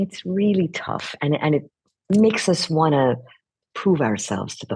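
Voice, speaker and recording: A woman is speaking. Her voice carries vocal fry. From Iran. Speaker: voice actress. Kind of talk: interview.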